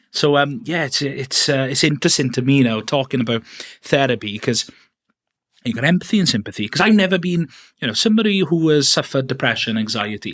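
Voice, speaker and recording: Talking at a very fast pace, a man uses lively intonation. His voice is fairly high, with a Welsh accent. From Wales. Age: 30s. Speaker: podcast host, filmmaker. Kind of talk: interview podcast. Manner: hesitant, many fillers.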